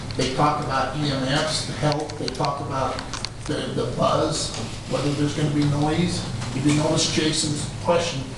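A man speaks at a fairly slow pace in a strongly echoing room with noticeable background noise. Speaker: property owner giving public comment. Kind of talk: public comment. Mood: frustrated, insistent. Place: hall. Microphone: camera far.

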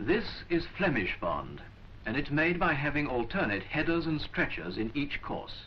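A man's lively intonation comes through over noticeable background noise. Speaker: film narrator. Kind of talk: 1940s vintage educational film narration, scripted voiceover. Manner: formal, measured, clipped and authoritative; slow, deliberate, instructional.

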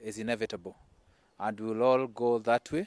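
Fairly slow speech, dry with no echo, against a quiet background. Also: man. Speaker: politician giving tribute. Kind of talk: condolence statement. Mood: somber, mourning. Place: garden.

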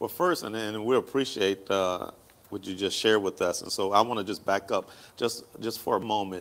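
An unremarkable speaking voice with an American accent shows ordinary pitch variation. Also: man, fairly low pitch for a man, moderate pace. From Hampton, Virginia; Virginia. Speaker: pastor and talk show host; pastor, talk show host. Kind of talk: casual chat. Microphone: lapel.

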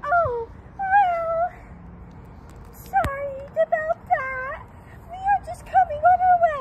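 A put-on character voice at an extremely high pitch, very slow, with long, frequent pauses and light background noise.

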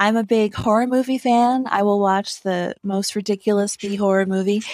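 In a very clean recording with a silent background, a woman uses a normal speaking voice, fairly high in pitch, with ordinary pitch variation and a moderate pace. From rural Ohio. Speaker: novelist. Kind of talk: interview.

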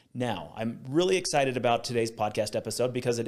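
A man is talking, his pitch varying in an ordinary way. Behind him the background stays quiet. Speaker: podcast host. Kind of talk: podcast intro to camera. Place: studio. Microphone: studio mic.

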